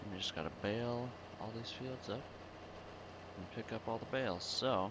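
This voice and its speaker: A man mumbles at a moderate pace and medium pitch, with ordinary pitch variation. Noticeable background noise is present. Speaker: gaming video creator. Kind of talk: casual gameplay commentary. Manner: mumbling.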